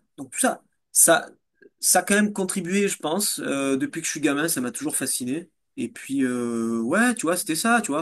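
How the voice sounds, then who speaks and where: Intonation is lively, in a southern French accent. The pace is moderate over a quiet background. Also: man. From southern France, Nîmes. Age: 40s. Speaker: fitness coach and entrepreneur. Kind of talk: interview. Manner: halting, many fillers and repetitions.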